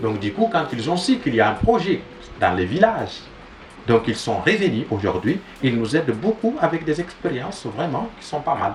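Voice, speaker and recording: Over noticeable background noise, a man with a fairly high pitch speaks at a moderate pace, his pitch swinging very widely. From Niger, Tuareg from near Arlit. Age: young. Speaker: agroecology project founder. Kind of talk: interview. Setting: mobile home during storm. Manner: halting, frequent repetitions.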